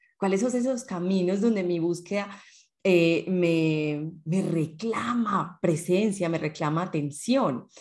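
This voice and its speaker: A woman speaks at a very slow pace. Her pitch is fairly low with ordinary variation. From Colombia (Medellín). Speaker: podcast co-host. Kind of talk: casual chat.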